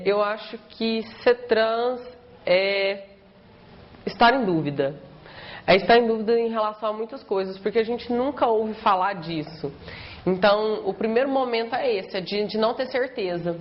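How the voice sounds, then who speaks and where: A woman's fairly high voice with ordinary pitch variation, a fairly slow pace, long, frequent pauses and noticeable background noise. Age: 20s. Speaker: law student. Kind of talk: documentary interview.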